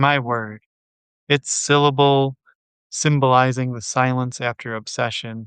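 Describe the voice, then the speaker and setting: Calm and relaxed, a man speaks at a fairly slow pace. His medium-pitched voice stays flat and monotone. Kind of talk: poetry reading. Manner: calm, relaxed.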